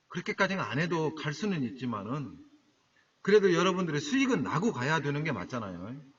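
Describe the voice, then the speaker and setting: A man's fairly high voice in a Jeolla accent, fairly quick, with very wide pitch swings. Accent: Jeolla dialect, can't drop it. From Jeolla, South Korea. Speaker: stock trading broadcaster. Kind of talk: live-stream talk to viewers. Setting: solo live internet broadcast. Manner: casual, conversational.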